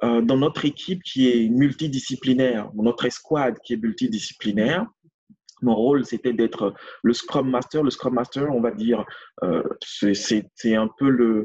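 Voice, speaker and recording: The voice keeps a very even loudness and ordinary pitch variation. Its pace is fairly slow. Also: man, medium pitch for a man. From France. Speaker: agile coach. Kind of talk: interview. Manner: halting, many repetitions and fillers.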